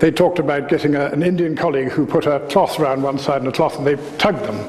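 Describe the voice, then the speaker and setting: A man speaking at a very fast pace, with noticeable background noise and audible room echo. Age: 60s. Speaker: osteopath. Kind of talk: lecture. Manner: animated.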